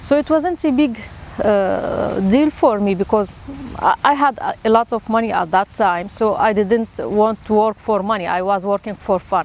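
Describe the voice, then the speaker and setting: A woman talks at a moderate pace with an Arabic accent and lively intonation. Her fairly high voice sits over noticeable background noise. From Syria. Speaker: theatre teacher and actor. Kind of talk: personal storytelling interview. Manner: halting, with frequent fillers and repeats.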